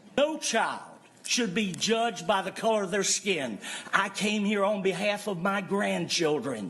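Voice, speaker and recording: Against noticeable background noise, a man with a high pitch talks at a fairly slow pace with ordinary pitch variation. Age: 70s. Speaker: public commenter at school board meeting. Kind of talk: public comment speech.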